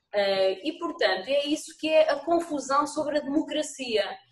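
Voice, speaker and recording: With audible room echo, a woman speaks at a fairly slow pace in a high pitch. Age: 40s. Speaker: municipal vice-mayor. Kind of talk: council meeting debate. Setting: video call. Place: home room. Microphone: video call.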